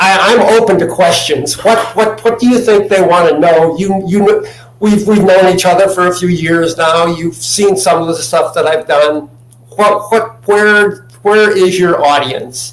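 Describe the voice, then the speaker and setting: Over noticeable background noise and audible room echo, a man talks at a high pitch and fairly slow pace with ordinary pitch variation. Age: 70s. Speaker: chemist and natural health advocate. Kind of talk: interview. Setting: video call from home. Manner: halting, repeats words. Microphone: laptop mic.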